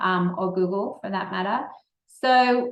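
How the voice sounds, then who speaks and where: This woman talks fairly slowly in an Australian accent. Her pitch varies in an ordinary way. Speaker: entrepreneur, company founder. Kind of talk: Q&A answers at a speaker session. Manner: casual, with hesitations.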